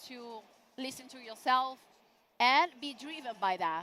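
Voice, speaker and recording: Raised and projected, a woman's high, bright, sharp voice carries an Italian accent and an animated tone with ordinary pitch variation. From Italy. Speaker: event host. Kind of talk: live event streaming presentation. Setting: exhibition booth.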